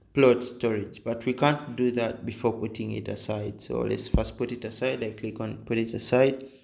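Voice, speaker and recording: This man has a medium pitch with vocal fry, speaking at a moderate pace with fairly even intonation. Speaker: game tutorial creator. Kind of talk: tutorial. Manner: hesitant, many fillers.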